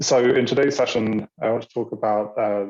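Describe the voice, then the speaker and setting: British-accented speech from a man. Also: dry, close sound with no echo. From Britain. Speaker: university international programs staff. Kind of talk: online orientation presentation. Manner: halting, many fillers.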